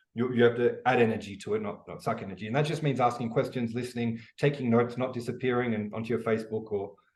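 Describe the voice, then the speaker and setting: The speaker talks very fast with an Australian accent. The voice is somewhat breathy. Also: man. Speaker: e-commerce educator, business founder. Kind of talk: interview. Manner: casual, animated with many fillers.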